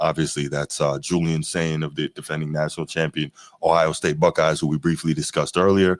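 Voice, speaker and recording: In a dry, close sound with no echo, a man speaks fairly quickly in a very deep, low pitch with monotone, flat intonation. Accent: American. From Maryland. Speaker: sports podcast host. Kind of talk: casual sports talk.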